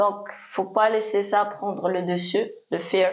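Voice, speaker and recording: A woman speaks very slowly at a medium pitch, her intonation monotone and flat. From Morocco. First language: Moroccan Arabic (Darija) (speaking French). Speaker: DJ. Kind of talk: interview. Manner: hesitant.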